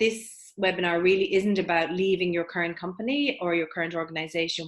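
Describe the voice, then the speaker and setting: Speaking at a fairly quick pace, a woman with an Irish accent has a fairly low pitch. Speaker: career coach. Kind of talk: webinar presentation. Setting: online webinar.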